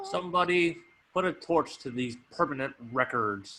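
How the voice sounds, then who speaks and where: A man's put-on character voice, fairly high in pitch, with lively intonation at a moderate pace. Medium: stage play.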